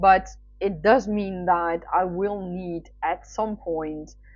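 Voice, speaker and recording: Using a monotone, flat intonation, a woman with a Dutch accent speaks at a medium pitch. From Netherlands. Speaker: writer. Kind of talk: casual chat. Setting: livestream. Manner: hesitant, many fillers.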